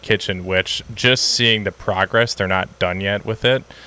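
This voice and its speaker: A fairly low-pitched man with a Wisconsin accent, at a fairly slow pace. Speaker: dog trainer. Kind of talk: casual podcast conversation. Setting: outdoors.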